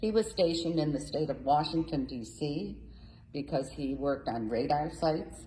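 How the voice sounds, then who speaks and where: The speech has lively intonation and a fairly slow pace. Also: woman. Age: 80s+. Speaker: community theater group president. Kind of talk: casual interview.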